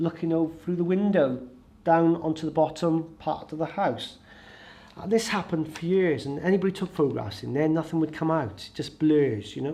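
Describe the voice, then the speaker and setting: A man's dark, mellow tone at a fairly high pitch, with ordinary pitch variation and a moderate pace. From Wales, mid Wales (Caersws area). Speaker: ghost storyteller, paranormal investigator. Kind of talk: storytelling to an audience. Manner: halting, many fillers.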